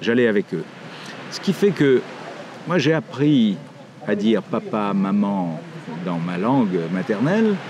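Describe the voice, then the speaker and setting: Over noticeable background noise, a man talks at a fairly slow pace, his pitch swinging very widely. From Morocco (Casablanca), French parents. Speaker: writer. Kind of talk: interview monologue. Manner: hesitant, many fillers.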